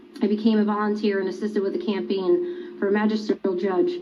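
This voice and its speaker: A woman with an American accent speaks at a fairly high pitch over noticeable background noise. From US, Pennsylvania, Delaware County. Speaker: election poll watcher. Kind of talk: testimony. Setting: legislative hearing. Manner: formal.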